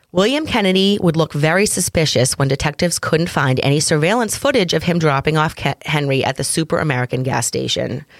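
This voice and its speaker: In a Massachusetts accent, a woman with a very deep, low pitch talks at a very fast pace with hardly any pauses, lively intonation and very even loudness, on a very clean recording with a silent background. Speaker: true crime podcast co-host. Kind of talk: casual chat.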